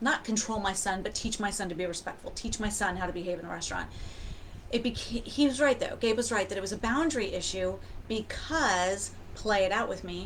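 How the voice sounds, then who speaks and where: A woman with a fairly high voice and ordinary pitch movement talks through noticeable background noise. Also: fairly quick pace. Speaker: self-help coach. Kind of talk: personal story. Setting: livestream on camera. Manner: fast.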